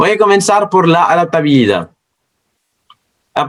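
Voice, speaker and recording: The speaker is a man. His accent is non-native. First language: not Spanish (speaking Spanish). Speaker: science educator. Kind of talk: educational talk. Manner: halting.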